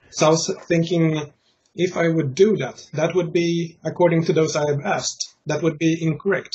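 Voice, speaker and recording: In a Swedish accent, a man speaks at a moderate pace. His pitch is fairly high and his intonation monotone and flat. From Sweden. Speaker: interviewer, conspiracy theorist group admin. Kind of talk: casual interview. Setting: Skype call. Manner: halting, many fillers.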